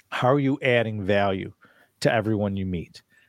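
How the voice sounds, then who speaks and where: A plain, everyday voice, a man with a fairly low pitch and ordinary pitch variation speaks at a moderate pace in a very clean recording with a silent background, the sound dry and close with no echo. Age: 50s. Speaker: commercial real estate investor. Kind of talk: interview.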